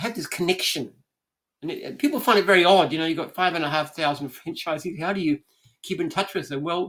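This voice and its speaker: Talking at a very fast pace, a man with an Australian accent has a high pitch and ordinary pitch variation. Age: 70s. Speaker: franchise business founder. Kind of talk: interview conversation.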